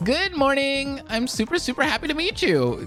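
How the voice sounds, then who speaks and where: A put-on character voice pitched high, delivered at a moderate pace. Background noise is clearly audible. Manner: cutesy, chipper.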